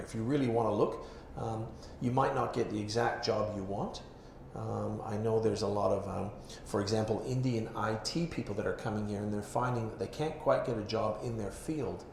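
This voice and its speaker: A man speaks at a fairly quick pace with a Canadian accent and medium pitch. His intonation is fairly even, and background noise is noticeable. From Canada. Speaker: cafe owner. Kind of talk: live storytelling talk. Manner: straight-talking, frank.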